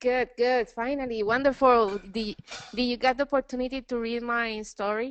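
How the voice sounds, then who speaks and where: A woman's high-pitched voice with a Spanish accent and monotone, flat intonation. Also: moderate pace. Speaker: course participant. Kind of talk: webinar coaching session.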